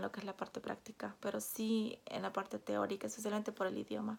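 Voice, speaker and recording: A woman with a Peruvian accent talks at a fairly quick pace. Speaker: vlogger. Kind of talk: personal storytelling vlog. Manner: casual, with fillers and hesitations.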